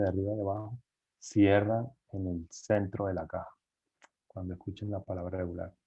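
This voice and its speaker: A man with an ordinary speaking voice and fairly low pitch talks at a moderate pace. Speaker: engineer giving guest lecture on cardboard packaging. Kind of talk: lecture.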